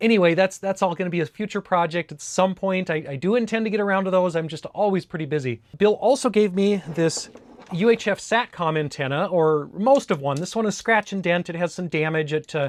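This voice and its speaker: With a northern US accent, a man talks at a fairly quick pace in a high voice with ordinary pitch variation. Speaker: tech YouTuber. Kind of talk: casual unboxing video. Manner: casual, with many fillers.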